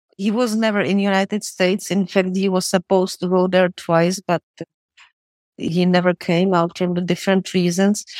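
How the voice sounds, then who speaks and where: A woman with a Czech accent, flat and monotone, at a very even loudness, in a dry, close sound with no echo. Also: medium pitch for a woman, moderate pace. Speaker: film historian and biographer. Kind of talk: interview.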